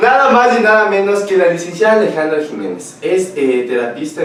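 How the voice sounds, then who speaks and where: A man with a fairly high pitch talks at a fairly quick pace, his pitch swinging very widely. Room echo is audible, along with noticeable background noise. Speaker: radio show host. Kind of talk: casual interview show.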